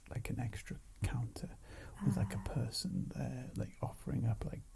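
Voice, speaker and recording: A man speaks softly at a moderate pace. His tone is calm. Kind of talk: ASMR soft-spoken ramble. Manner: soft-spoken, calm.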